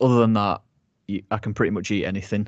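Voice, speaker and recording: Against a quiet background, a man uses a normal speaking voice with a fairly low pitch and fairly even intonation. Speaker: food business co-founder. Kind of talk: casual chat.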